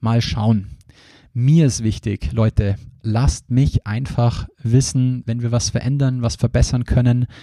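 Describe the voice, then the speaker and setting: Speaking at a very slow pace, a man with a medium pitch and a dark, mellow tone shows ordinary pitch variation in a dry, close sound with no echo. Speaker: podcast host and recruiting trainer. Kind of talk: solo podcast introduction.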